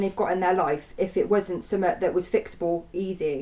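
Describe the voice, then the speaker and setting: A shaky woman's voice with an English accent at a fairly quick pace. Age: 20s. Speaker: vlogger. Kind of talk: personal testimony. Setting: home. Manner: halting; shaky voice.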